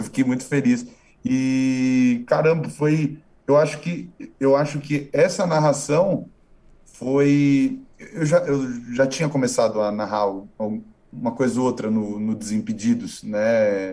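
A man's medium-pitched voice moves along at a very slow pace. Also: ordinary pitch variation. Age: 20s. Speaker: online video presenter and actor. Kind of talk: casual interview. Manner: halting, many repetitions.

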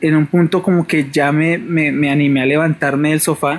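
A man with a plain, everyday voice speaks at a moderate pace, his fairly high pitch held in a fairly even intonation. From Bogotá, Colombia. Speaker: caller. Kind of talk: personal paranormal story on phone.

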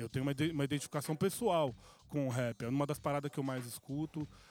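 Fairly high in pitch, a man with an ordinary speaking voice talks at a fairly quick pace. His pitch varies in an ordinary way over a very clean recording with a silent background. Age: 40s. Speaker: music producer. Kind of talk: casual chat.

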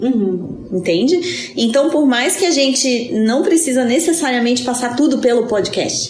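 Noticeable background noise accompanies a woman speaking at a high pitch with lively intonation. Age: 30s. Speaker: podcast co-host. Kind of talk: casual chat. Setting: in person, recorded live together.

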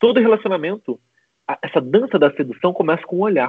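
This man's intonation is lively. He moves at a fairly quick pace. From Brazil, Macaé, Rio de Janeiro state. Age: 30s. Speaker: relationship coach. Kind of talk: casual interview on a livestream.

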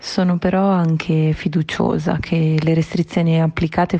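A woman with a very deep, low voice speaks fairly slowly in a monotone, flat intonation against noticeable background noise. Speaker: airport check-in agent. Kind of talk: personal testimony.

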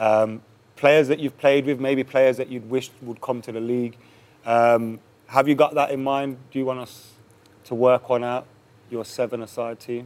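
At a moderate pace, the voice keeps a monotone, flat intonation while swinging widely in loudness. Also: man, medium pitch for a man. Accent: English. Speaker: podcast host. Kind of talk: casual interview.

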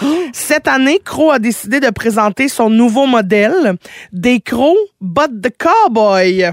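A woman with a plain, everyday voice, fairly high in pitch, fairly slow in pace, lively in intonation and very even in loudness, with a dry, close sound and no echo. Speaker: radio host. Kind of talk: casual chat.

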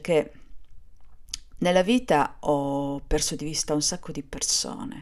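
A woman talks at a fairly slow pace in a very deep, low pitch. The recording is very clean, with a silent background. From Sardinia, Cagliari. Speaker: podcaster. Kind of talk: personal monologue. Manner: halting, with hesitations.

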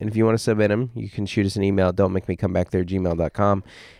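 A very fast man's voice, fairly low and dark, mellow in tone, with ordinary pitch variation, a dry, close sound with no echo and a quiet background. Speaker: stand-up comedian and podcast host. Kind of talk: casual chat. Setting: home studio.

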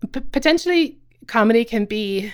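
A woman with a Cork accent speaks at a fairly slow pace, in a very clean recording with a silent background and a dry, close sound with no echo. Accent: Irish, Cork. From Ireland, Cobh, County Cork. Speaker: comedian and writer. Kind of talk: casual interview.

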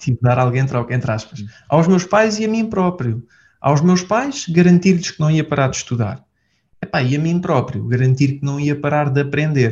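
Somewhat breathy, a man talks at a fairly high pitch and a moderate pace with lively intonation. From Portugal. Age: 20s. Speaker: entrepreneur. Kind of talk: casual interview. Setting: office.

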